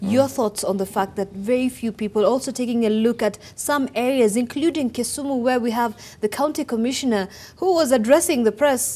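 At a moderate pace, a woman speaks with a dark, mellow tone. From Kenya. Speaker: TV news host. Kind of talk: TV talk show discussion. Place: studio. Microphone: lapel.

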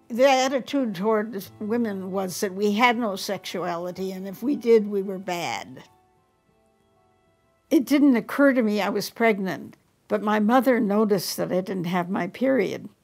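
A woman with an American accent speaks at a moderate pace in a medium pitch, her pitch varying in an ordinary way, with faint music in the background. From Detroit, USA. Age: 80s+. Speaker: writer. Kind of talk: interview answer. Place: home room.

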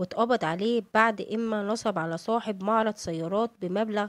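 A woman with an Egyptian accent speaks at a fairly slow pace, with a fairly high pitch and ordinary pitch variation. The recording is very clean with a silent background and a dry, close sound with no echo. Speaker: celebrity news narrator. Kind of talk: scripted narration.

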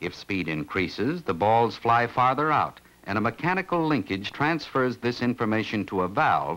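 The man's pitch swings very widely. His delivery keeps a moderate pace. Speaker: film narrator. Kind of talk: documentary narration. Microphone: old recording.

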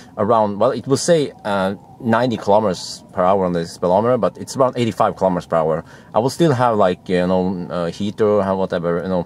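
A man talks at a fairly quick pace with ordinary pitch variation, and the sound is dry with no echo. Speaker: car reviewer. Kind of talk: casual vlog chat. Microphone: phone near.

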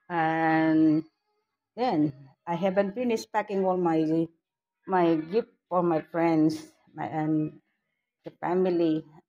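A woman speaks very slowly in a fairly low voice with a dark, mellow tone and ordinary pitch variation. Long, frequent pauses break up her speech against a quiet background. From Philippines. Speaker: vlogger; home vlogger. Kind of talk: casual vlog. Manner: halting. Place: home room. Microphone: phone near.

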